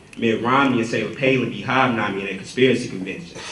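A man at a very fast pace with ordinary pitch variation, audible room echo and light background noise. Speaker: slam poet. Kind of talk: slam poetry performance. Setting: live event. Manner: forceful, rhythmic. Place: hall. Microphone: camera far.

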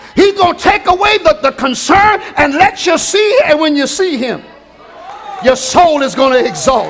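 An animated tone at a moderate pace, with light background noise. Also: man, extremely high pitch for a man. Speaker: preacher. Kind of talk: sermon. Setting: church. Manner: animated, rousing call-and-response preaching; rhetorical, building in rhythmic repetition. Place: church. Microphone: headset.

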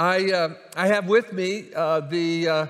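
A high-pitched man's voice with fairly even intonation and a quiet background. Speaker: pastor. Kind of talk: sermon. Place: church. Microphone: headset.

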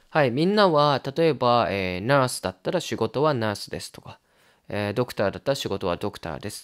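On a very clean recording with a silent background, a man at a medium pitch talks at a fairly quick pace, with very wide pitch swings and big swings in loudness. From Japan. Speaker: Japanese language teacher. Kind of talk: tutorial.

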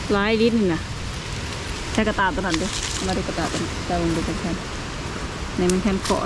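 The sound is dry with no echo, against loud background noise. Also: woman. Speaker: rural vlogger. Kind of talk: casual vlog chat. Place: open country. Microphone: phone near.

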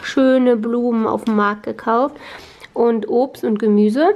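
A woman speaks in a high pitch. Her pace is fairly slow, with ordinary pitch variation. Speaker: lifestyle vlogger. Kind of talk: casual vlog chat. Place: home room. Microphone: phone near.

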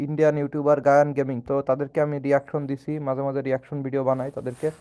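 Monotone and flat, a man speaks in a dark, mellow tone. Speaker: gaming streamer. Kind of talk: casual live stream chat with viewers. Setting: live stream at home with camera.

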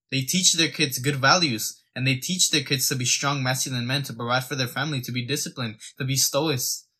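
A man speaks in a bright, sharp tone with fairly even intonation. The background is quiet. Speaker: fitness content creator. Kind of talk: opinion rant to camera. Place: home room. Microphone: phone near.

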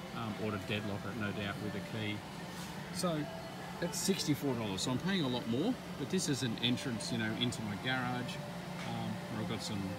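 A man talks at a fairly quick pace, the sound dry with no echo and the background noise loud. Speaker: homeowner reviewing locks. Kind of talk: casual vlog commentary. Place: shop. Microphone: phone near.

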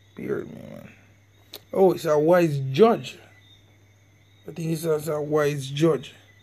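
A man speaks in a dark, mellow, somewhat breathy tone at a fairly high pitch, very slowly, with long, frequent pauses, fairly even intonation, and big swings in loudness. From Jamaica. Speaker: religious online teacher. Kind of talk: religious lesson video.

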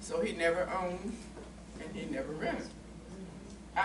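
A woman with an American accent talks over noticeable background noise. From West Virginia. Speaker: panelist. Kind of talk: panel discussion, personal recollection. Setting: stage with audience, microphone. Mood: reflective, calm. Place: meeting room. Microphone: camera far.

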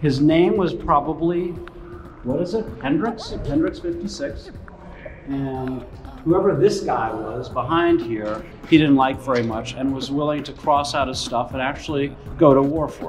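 Big swings in loudness from a man at a moderate pace, with audible room echo and light background noise. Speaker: show host. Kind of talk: commentary. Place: tunnel cave.

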